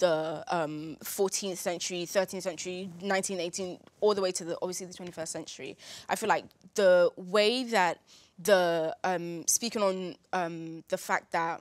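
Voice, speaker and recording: A woman at a fairly slow pace, fairly even in intonation, in a dry sound with no echo. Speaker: debate show cast member. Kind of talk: discussion opinion. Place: studio.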